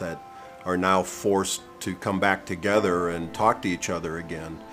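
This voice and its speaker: Music plays in the background. A man with a very deep, low pitch speaks at a fairly slow pace with fairly even intonation. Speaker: farm manager and real estate broker. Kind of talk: interview answer. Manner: conversational, with fillers.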